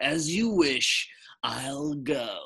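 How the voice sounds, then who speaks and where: A man puts on a breathy character voice. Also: fairly high pitch for a man. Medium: read story. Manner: polite, formal.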